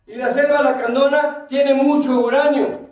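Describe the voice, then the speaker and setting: Audible room echo surrounds a man with an extremely high pitch. His intonation stays fairly even. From Chiapas, Mexico (Lacandon jungle). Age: 60s. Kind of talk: conference talk. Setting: auditorium with audience. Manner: loud.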